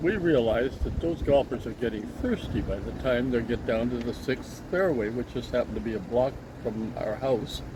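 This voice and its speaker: A man with a Canadian accent talks at a moderate pace, with hardly any pauses and ordinary pitch variation. Noticeable background noise runs underneath. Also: medium pitch for a man. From Canada, Vancouver. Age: 80s+. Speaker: storyteller father, guest taste tester. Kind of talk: casual chat.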